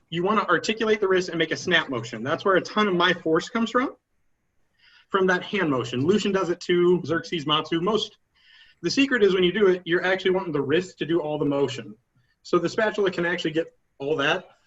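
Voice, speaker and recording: A man speaks at a very fast pace. His voice is high-pitched, with lively intonation. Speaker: combat sports instructor. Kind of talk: instructional talk at practice.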